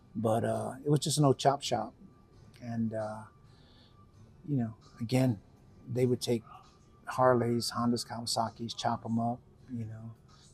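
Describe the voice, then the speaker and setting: With music in the background, the speaker uses a monotone, flat intonation in an American accent, leaving long, frequent pauses. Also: man, medium pitch for a man, moderate pace. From Texas (Pasadena, near Houston). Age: 60s. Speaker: biker, military veteran. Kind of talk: interview. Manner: halting, many fillers.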